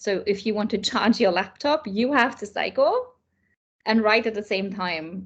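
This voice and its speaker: A woman speaks with a German accent at a fairly slow pace. The background is quiet. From Germany. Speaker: children's author and illustrator. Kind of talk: interview.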